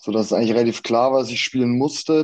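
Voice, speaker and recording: Over a quiet background, a man's dark, mellow voice keeps a fairly even intonation. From Franconia, Germany (Erlangen). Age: 20s. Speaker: professional handball player. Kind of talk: casual interview. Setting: video call.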